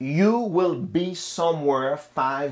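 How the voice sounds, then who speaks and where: A man's voice with very wide pitch swings, on a very clean recording with a silent background. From Haiti. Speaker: motivational speaker. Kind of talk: motivational talk.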